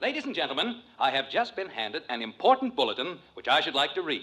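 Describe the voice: Doing a put-on character voice, a man talks fast at a fairly high pitch with big pitch swings, a bright, sharp tone and a slightly husky edge.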